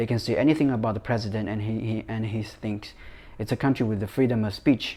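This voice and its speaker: A man's medium-pitched, dark and mellow voice, very fast and fairly even in intonation. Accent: Chinese. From China. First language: Chinese. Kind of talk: casual talk to camera.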